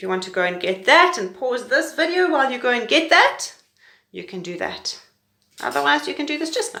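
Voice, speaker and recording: A woman's raised, projected voice, high-pitched with a bright, sharp tone, very wide pitch swings, big swings in loudness, and a fairly quick pace. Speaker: pre-primary teacher. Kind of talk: tutorial. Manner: fast.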